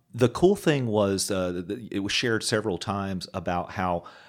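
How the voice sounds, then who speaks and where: A man speaks in a normal speaking voice with an American accent. The recording is very clean, with a silent background. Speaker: podcast co-host in recovery. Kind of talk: casual chat.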